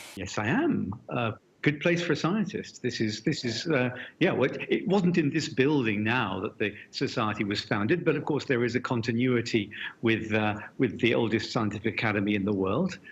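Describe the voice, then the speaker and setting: At a moderate pace, a man with a British accent speaks at a medium pitch, somewhat breathy, with lively intonation. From Britain. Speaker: physics professor. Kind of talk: interview conversation.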